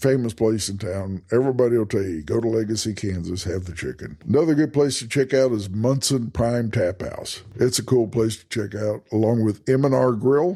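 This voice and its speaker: A man with a Texas accent talks with hardly any pauses. His loudness swings widely. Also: medium pitch for a man, ordinary pitch variation, moderate pace. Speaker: travel podcast host. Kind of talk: casual podcast monologue. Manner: conversational, with false starts.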